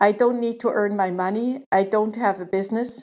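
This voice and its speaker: At a moderate pace, the voice has a dark, mellow tone and fairly even intonation. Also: woman. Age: 70s. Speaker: podcast contributor sharing pandemic experience. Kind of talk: personal testimony.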